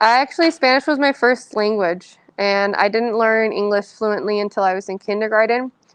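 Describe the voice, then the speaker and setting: Speaking at a moderate pace with hardly any pauses, a woman with a Californian accent uses a fairly high pitch and ordinary pitch variation. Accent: Californian American English. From San Francisco Bay Area, California. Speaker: author. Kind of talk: audience Q&A. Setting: library event with audience.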